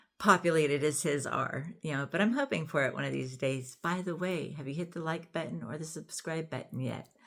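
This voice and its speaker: Noticeable background noise sits behind a woman with a very deep, low pitch who speaks with hardly any pauses and ordinary pitch variation. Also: fairly quick pace. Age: 60s. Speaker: YouTuber discussing parenting and relationships. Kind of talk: casual vlog monologue. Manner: conversational, with frequent fillers.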